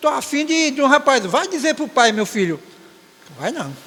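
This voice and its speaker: Noticeable background noise sits behind a man speaking at a fairly slow pace. His pitch is extremely high. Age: 60s. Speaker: church elder giving closing remarks at Sunday school. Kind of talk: Sunday school exhortation. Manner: halting, with frequent self-corrections.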